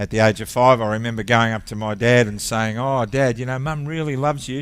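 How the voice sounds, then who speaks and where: On a very clean recording with a silent background, a man with an Australian accent talks at a fairly quick pace, keeping a medium pitch and fairly even intonation. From Australia (Victoria). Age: 60s. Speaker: ministry founder, former airline captain. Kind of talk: testimony. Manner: halting.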